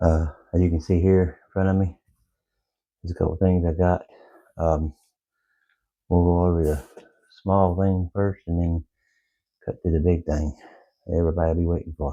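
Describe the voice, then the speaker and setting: A man speaks at a fairly quick pace in a very deep, low pitch with a dark, mellow tone. His intonation is monotone and flat, his loudness swings widely, and he leaves long, frequent pauses. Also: quiet background. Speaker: outdoor gear YouTuber. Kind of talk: product review. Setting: at home in the evening. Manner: quiet, low.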